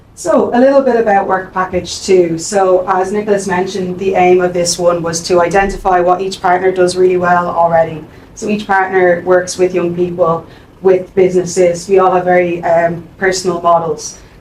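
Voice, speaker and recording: Medium-pitched, monotone, flat delivery from a woman with a Dublin accent, plus noticeable background noise and audible room echo. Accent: Irish (Dublin). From Ireland, Dublin. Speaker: employment centre staff presenter. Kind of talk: conference presentation. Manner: fast.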